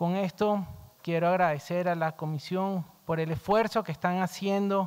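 Against a quiet background, a man with a high pitch talks at a fairly slow pace with fairly even intonation. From Venezuela. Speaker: diplomat. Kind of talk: formal statement at hearing. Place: hall. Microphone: podium.

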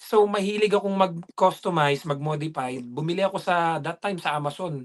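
A man speaks at a moderate pace in a high voice, with hardly any pauses. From Philippines. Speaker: dairy farm worker and vlogger; vlogger. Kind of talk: casual interview. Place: home room. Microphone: video call.

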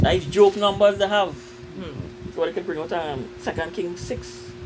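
A man speaks over noticeable background noise. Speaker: religious group member. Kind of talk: religious discussion.

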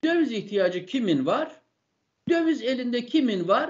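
The speech moves at a moderate pace, and the background is quiet. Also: man. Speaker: economics professor guest. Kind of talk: interview answer. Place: home room.

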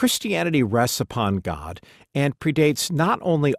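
With an ordinary speaking voice, a man talks at a moderate pace with lively intonation in a very clean, dry, close recording with no echo and a silent background. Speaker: audiobook narrator. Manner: measured, formal, reverent.

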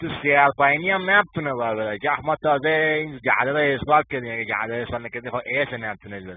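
A man talks with an Isfahan Province accent and ordinary pitch variation. There is noticeable background noise. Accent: Golpayegan Persian dialect. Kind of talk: funny casual narration. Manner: animated, excited.

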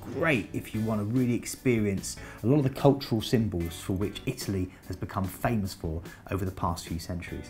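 Faint music plays behind a man whose fairly low voice shows ordinary pitch variation. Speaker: presenter. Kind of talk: presenter talk to camera. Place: studio. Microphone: lapel.

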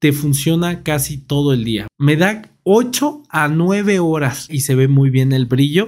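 Against a quiet background, a man with a fairly high voice speaks at a very slow pace with lively intonation. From Mexico. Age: 30s. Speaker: tech YouTuber. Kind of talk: product review. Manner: casual. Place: home room. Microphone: studio mic.

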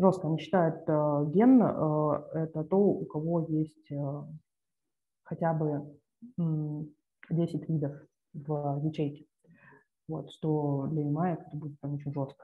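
Her pitch is very deep and low for a woman. She speaks very slowly with fairly even intonation. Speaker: journal club presenter; presenter. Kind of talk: paper presentation. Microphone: video call.

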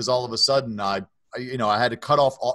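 A man in a Baltimore accent with ordinary pitch variation, dry sound with no echo and a quiet background. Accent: Baltimore American English. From Baltimore, US. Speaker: author and nonprofit founder; podcast guest. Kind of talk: testimony. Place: office.

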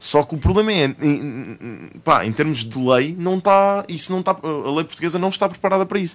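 A man speaks at a fairly quick pace in a high voice. His pitch varies in an ordinary way. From Portugal. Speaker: rapper and streamer; interview guest, streamer. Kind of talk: casual chat. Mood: relaxed, storytelling. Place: studio. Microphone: studio mic.

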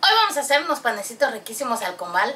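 A woman's speech moves at a fairly quick pace against light background noise. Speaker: channel host. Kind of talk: cooking tutorial. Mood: warm, cheerful. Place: kitchen.

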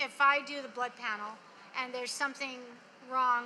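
A woman speaks at a high pitch in a bright, sharp tone. Her intonation is fairly even, with faint background noise.

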